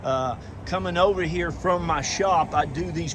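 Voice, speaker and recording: A man speaks at a moderate pace, his voice somewhat breathy. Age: 60s. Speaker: used car dealer. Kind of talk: sales pitch. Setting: outdoors. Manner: animated.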